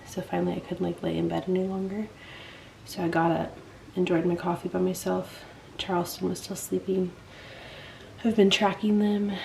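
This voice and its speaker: A woman whispers at a moderate pace, breaking it up with long, frequent pauses. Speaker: vlogger. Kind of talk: vlog. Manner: whispering.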